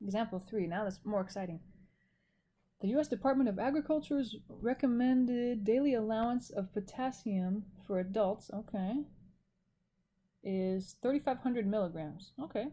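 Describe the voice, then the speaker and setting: A woman with a fairly high pitch speaks in a dark, mellow tone that is somewhat breathy. Her pitch varies in an ordinary way, and she pauses long and often. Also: moderate pace. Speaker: math instructor. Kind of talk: recorded lecture. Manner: casual, self-correcting.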